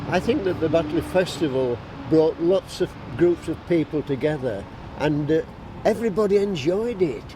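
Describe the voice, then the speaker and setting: Through noticeable background noise, a man with a Yorkshire accent speaks at a high pitch. His pace is moderate and his intonation lively. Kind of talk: interview answer.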